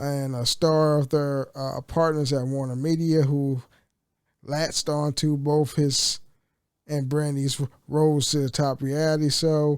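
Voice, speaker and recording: A man speaks in a relaxed tone at a fairly slow pace. His fairly high voice stays flat and monotone. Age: 30s. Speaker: gaming content creator. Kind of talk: reading a news article aloud. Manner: casual, relaxed.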